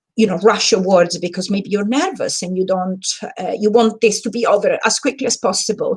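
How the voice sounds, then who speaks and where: A woman's somewhat breathy, medium-pitched voice with an Italian accent and lively intonation. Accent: Italian accent, noticeable. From Italy. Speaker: communication trainer and book club host. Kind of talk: live stream talk / training. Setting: live stream. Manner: animated.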